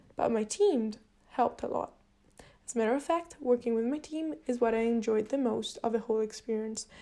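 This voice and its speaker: This woman's voice has a dark, mellow tone and a fairly high pitch. She speaks at a fairly quick pace with a non-native accent. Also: ordinary pitch variation. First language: not English. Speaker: university student. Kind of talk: video reflection log. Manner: slightly halting, with fillers.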